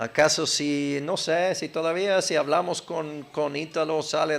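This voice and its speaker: The pace is fairly slow. The speaker has an American accent. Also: man. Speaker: preacher. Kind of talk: sermon. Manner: conversational, halting at times.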